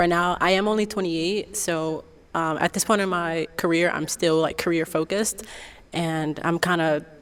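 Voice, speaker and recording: A woman with an unremarkable speaking voice talks at a moderate pace in a fairly low voice, with fairly even intonation. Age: 20s. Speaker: dating show contestant. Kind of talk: casual chat.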